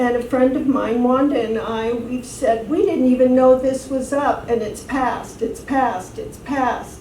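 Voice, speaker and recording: High-pitched female speech, fairly even in intonation, with audible room echo and noticeable background noise. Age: 60s. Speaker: city council candidate. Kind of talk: campaign speech. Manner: hesitant, many fillers.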